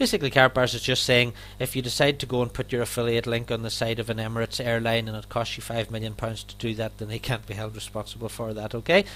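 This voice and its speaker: Very fast and with hardly any pauses, the speaker talks in an Irish accent. The intonation stays flat and monotone. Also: man, medium pitch for a man. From Ireland. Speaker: network marketing affiliate and trainer. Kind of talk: sales presentation.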